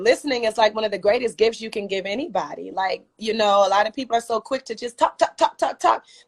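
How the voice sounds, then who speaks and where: Using an ordinary speaking voice, a woman talks at medium pitch and a fairly quick pace with ordinary pitch variation, in a dry, close sound with no echo. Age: 40s. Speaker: singer. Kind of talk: interview.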